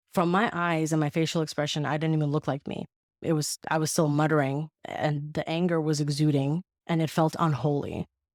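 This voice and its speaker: A woman with a non-native accent speaks at a very deep, low pitch and a fairly quick pace, with fairly even intonation. The sound is dry and close with no echo, in a very clean recording with a silent background. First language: not English. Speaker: anonymous guest. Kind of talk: testimony.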